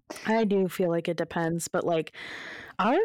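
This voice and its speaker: A woman speaks at a moderate pace. The sound is dry and close with no echo, over a quiet background. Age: 20s. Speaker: podcast co-host. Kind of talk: casual chat.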